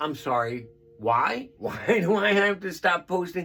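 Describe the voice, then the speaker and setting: With music in the background, a man shouts at a very slow pace in a high pitch. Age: old. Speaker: storyteller vlogger, stroke survivor. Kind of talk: casual storytelling monologue.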